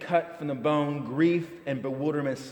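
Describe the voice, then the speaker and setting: Over noticeable background noise, a man talks with fairly even intonation at a fairly high pitch for a man. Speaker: church homilist / preacher. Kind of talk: reflective sermon, spoken word style.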